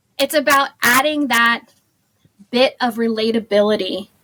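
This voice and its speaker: With an American accent, a woman speaks in a fairly high, bubbly, animated tone with ordinary pitch variation. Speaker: social media marketing agency owner. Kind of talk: podcast interview. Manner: loud.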